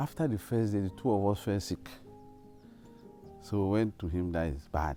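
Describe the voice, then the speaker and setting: With lively intonation, a man speaks at a moderate pace while music plays in the background. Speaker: former student. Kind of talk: interview answer.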